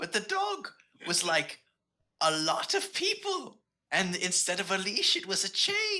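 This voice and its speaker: A man puts on a character voice and delivers his lines fairly slowly. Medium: actual play. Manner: rambling, vague, cheerfully confused.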